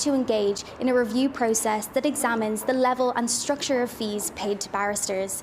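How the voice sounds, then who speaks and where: A woman's high voice at a fairly quick pace, with fairly even intonation and noticeable background noise. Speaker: news reporter. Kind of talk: TV news report.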